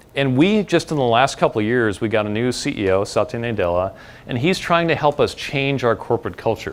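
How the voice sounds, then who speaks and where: Lively intonation marks this man's fairly quick delivery. He has an American accent and medium pitch. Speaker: tech designer and speaker. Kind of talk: talk to an audience. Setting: stage with audience. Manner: fast.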